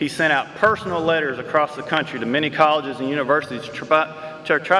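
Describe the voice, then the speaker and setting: Over noticeable background noise, a man with an East Texas accent talks very fast at a fairly high pitch. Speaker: award presenter introducing an honoree. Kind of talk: award ceremony tribute speech. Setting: school gym with audience.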